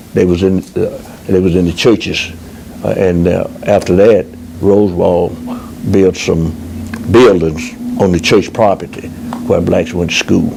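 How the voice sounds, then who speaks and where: With long, frequent pauses and fairly even intonation, a man speaks in a very deep, low voice over noticeable background noise. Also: fairly slow pace. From US South, Collierville, Tennessee. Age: 80s+. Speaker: oral history interviewee. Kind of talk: oral history interview. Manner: halting, frequent fillers.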